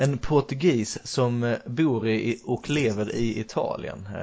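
Speaking with a Swedish accent at a very slow pace, a man shows ordinary pitch variation. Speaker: podcast host, football coach. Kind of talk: casual chat.

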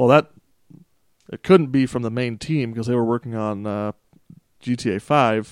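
Recorded dry and close with no echo, a man talks at a medium pitch and moderate pace. Long pauses come often, and his pitch varies in an ordinary way. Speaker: podcast co-host. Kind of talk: casual chat.

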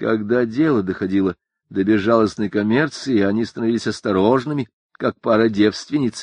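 In a natural voice, the passage is read aloud with ordinary pitch variation, and the background stays quiet.

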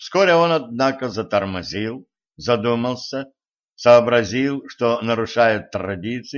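A natural voice reading aloud, with a quiet background.

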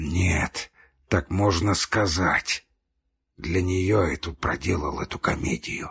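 A man's put-on character voice, hoarse and breathy with a husky, rough edge, a low pitch, a fairly bright tone, ordinary pitch variation and a slow pace

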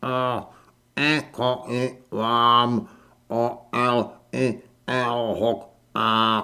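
A put-on character voice sits at a low-to-middle pitch. Long pauses come often. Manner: friendly.

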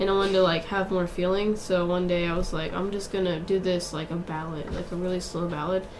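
A woman at medium pitch over noticeable background noise. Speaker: singer-songwriter. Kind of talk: interview, casual chat. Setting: studio. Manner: soft-spoken.

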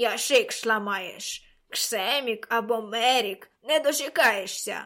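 A woman mumbles in a put-on character voice, fairly high-pitched and very slow. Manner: chewing, mumbling.

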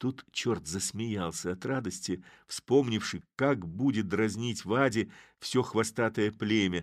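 Natural reading voice

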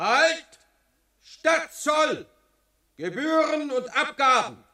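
In a put-on character voice, a man speaks very slowly at an extremely high pitch, his tone bright and sharp, with big pitch swings.

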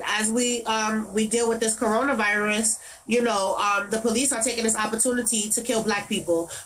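A woman with a New York accent speaks at a fairly high pitch and moderate pace with fairly even intonation, over noticeable background noise and audible room echo. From New York City, Brooklyn (Brownsville). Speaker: activist, daughter of police violence victim. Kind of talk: interview.

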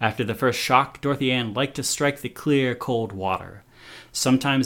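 Unforced voice used for reading

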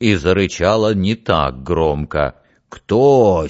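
Reading aloud in a natural voice with lively intonation and a quiet background

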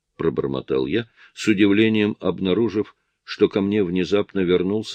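Quiet surroundings and a natural reading voice

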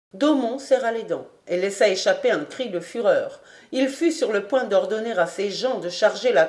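This is plain reading aloud. The delivery stays that way throughout.

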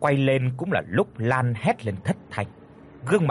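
The clip carries an unforced reading voice. That voice is the only trait given.

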